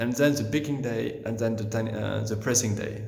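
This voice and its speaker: In a French accent, a man speaks at a fairly low pitch with ordinary pitch variation. There is audible room echo and noticeable background noise. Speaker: winemaker. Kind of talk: guided tour. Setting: underground cellar. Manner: halting, many fillers and restarts.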